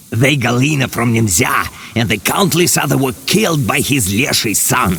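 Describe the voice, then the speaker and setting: A croaky, put-on character voice moves at a moderate pace over clear background noise. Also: man, medium pitch for a man. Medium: video game. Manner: cryptic, broken phrasing, croaks "karr".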